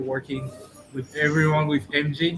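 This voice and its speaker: Music plays in the background as a man with a French accent speaks. His fairly high voice stays in a flat monotone. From France. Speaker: hotel general manager. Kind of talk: formal welcome address.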